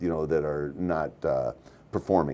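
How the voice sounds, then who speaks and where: This man speaks in a dark, mellow tone. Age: 60s. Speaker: bank CEO. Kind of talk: interview. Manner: halting, many repetitions.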